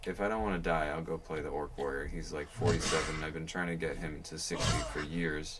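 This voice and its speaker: Speaking at a fairly quick pace with hardly any pauses, a man with a very deep, low pitch and ordinary pitch variation is heard amid audible room echo and noticeable background noise. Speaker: game streamer. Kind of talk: casual gaming livestream talk. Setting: livestream. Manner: soft-spoken; chatty, casual.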